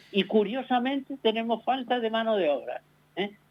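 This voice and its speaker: High male pitch, with ordinary variation in it. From Canary Islands. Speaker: guest commentator, cultural director. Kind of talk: radio interview by phone.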